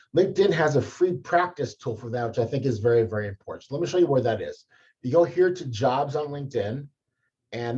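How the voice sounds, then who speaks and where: At a very fast pace, a man speaks with a dark, mellow, somewhat breathy tone, medium pitch and ordinary pitch variation. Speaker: career advisor. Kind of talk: tutorial.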